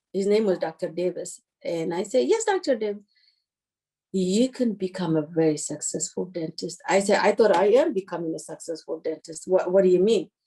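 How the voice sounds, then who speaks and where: A woman with an Eritrean accent, a dark, mellow tone, a moderate pace and ordinary pitch variation. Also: medium pitch for a woman. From Eritrea, Asmara. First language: Tigrinya. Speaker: dentist. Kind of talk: interview.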